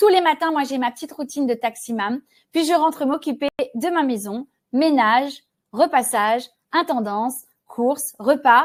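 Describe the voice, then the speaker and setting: A woman speaks at a moderate pace in a high voice. She leaves long, frequent pauses. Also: ordinary pitch variation. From Réunion. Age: 40s. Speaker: sales trainer. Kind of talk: webinar presentation.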